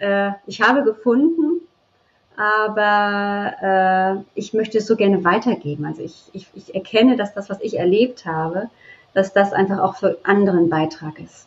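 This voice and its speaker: A woman's plain, everyday voice, medium in pitch with ordinary pitch variation, at a fairly slow pace. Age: 40s. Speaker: birth and bonding mentor. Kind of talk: interview.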